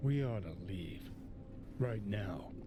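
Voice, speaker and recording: A man's put-on character voice, fairly low in pitch, over loud background noise. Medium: video game. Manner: sardonic, brusque.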